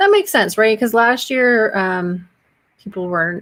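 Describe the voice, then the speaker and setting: A woman with an unremarkable speaking voice, fairly high pitch, lively intonation, and a fairly slow pace. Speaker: social media marketing educator. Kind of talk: live stream tutorial. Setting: solo live stream. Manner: casual, chatty.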